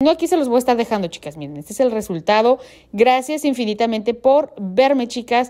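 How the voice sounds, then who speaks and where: A woman talks at a fairly quick pace, her high pitch carried by lively intonation and big swings in loudness. The background is quiet. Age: 30s. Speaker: beauty and fashion vlogger; fashion vlogger. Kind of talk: makeup tutorial; casual farewell to viewers. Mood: warm, friendly.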